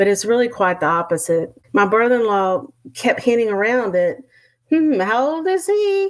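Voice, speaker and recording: Speaking with a Texan accent at a moderate pace, a woman's fairly high pitch makes very wide swings. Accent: Texan Southern. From Texas. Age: 50s. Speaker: retired teacher and author. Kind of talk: casual interview conversation.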